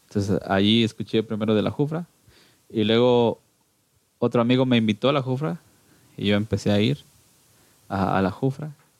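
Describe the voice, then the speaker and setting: A man with a Guatemalan accent talks at a moderate pace with long, frequent pauses, ordinary pitch variation and very even loudness. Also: medium pitch for a man, dry, close sound with no echo. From Guatemala, Cuilapa, Santa Rosa. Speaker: church music group singer. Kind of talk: casual interview.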